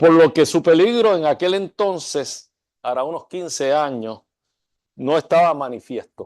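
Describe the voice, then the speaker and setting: A man speaks in an unremarkable speaking voice at a fairly slow pace. His pitch varies in an ordinary way, and the sound is dry and close with no echo. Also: fairly high pitch for a man, quiet background. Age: 60s. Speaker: architecture school dean. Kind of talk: lecture. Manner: formal.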